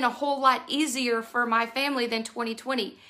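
A woman with a Texan accent speaks in a raised, projected voice at a moderate pace. Her tone is animated, bright and sharp. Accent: Texan (US South). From Texas, Houston area. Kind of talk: devotional message.

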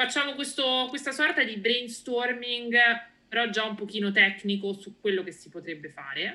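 A woman's unremarkable speaking voice, fairly high in pitch, at a moderate pace with big swings in loudness. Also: lively intonation. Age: 30s. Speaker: data science manager in real estate. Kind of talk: casual interview. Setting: remote call.

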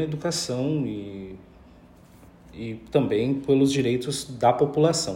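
A somewhat breathy male voice, fairly high in pitch, with ordinary pitch variation and audible room echo. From Pelotas, southern Brazil. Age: 30s. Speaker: politician and anti-racism activist. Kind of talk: interview.

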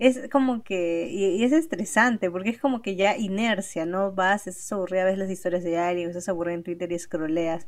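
A woman with a normal speaking voice talks at a moderate pace and a medium pitch, with ordinary pitch variation and hardly any pauses. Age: young. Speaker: podcast co-host. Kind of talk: casual chat.

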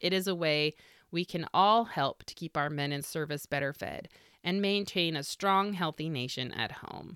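With an American accent, a woman speaks at a moderate pace in a fairly low pitch, using ordinary pitch variation and an upbeat, bright, sharp tone. The recording is very clean with a silent background, and the sound is dry and close with no echo. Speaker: podcast host, author and historian. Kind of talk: scripted narration, history podcast; read-aloud 1940s wartime advertisement, brisk announcer style. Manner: brisk, upbeat, persuasive ad-copy delivery; friendly, conversational, occasionally halting.

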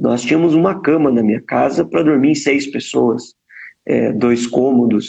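A man speaks at a medium pitch with vocal fry and lively intonation. His pace is moderate and his loudness very even. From Brazil, Paraná (Ponta Grossa). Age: 30s. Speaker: politician. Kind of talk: interview.

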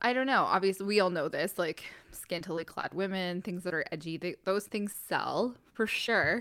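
On a very clean recording with a silent background, a woman speaks at a moderate pace and medium pitch, with ordinary pitch variation and hardly any pauses. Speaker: podcast co-host. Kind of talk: casual chat. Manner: clear articulation.

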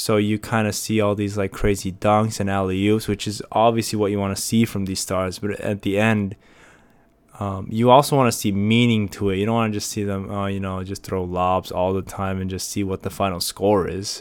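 At a moderate pace, a man talks at a fairly low pitch. His intonation stays monotone and flat. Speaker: podcast host. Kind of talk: casual solo podcast monologue. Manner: casual, many fillers and repetitions.

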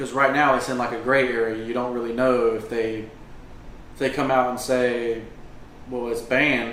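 Amid audible room echo and noticeable background noise, a man of medium pitch speaks at a moderate pace in monotone, flat intonation, with long, frequent pauses. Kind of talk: casual chat. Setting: at the beach. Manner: quiet.

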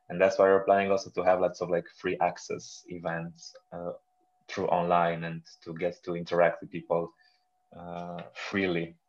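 A man with a Romanian accent talks at a fairly slow pace in a very deep, low pitch. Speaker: film festival director. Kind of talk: interview. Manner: halting, frequent repetitions.

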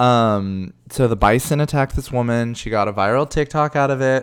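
A man talks at a fairly quick pace in a normal speaking voice, with a medium pitch and ordinary pitch variation. The recording is very clean, with a silent background. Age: 30s. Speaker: drag queen podcast host. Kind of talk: casual monologue.

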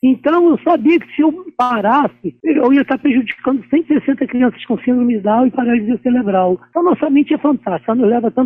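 A man with an extremely high pitch speaks at a fairly quick pace, his intonation lively and hardly any pauses between words. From Rio de Janeiro, Brazil. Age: 50s. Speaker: ultramarathon runner. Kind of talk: interview. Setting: remote interview.

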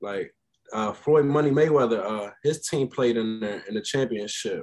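With an American accent, a normal speaking voice moves at a moderate pace with lively intonation. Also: man. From Frederick, Maryland. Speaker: podcast guest. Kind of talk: casual chat.

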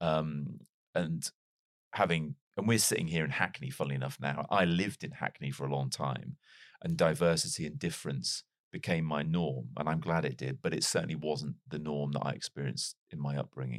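A man speaks with a very deep, low pitch and vocal fry, his pitch varying in an ordinary way. The sound is dry and close, with no echo. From Wales. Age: 40s. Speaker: PR partner, former TV presenter. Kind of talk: casual interview conversation.

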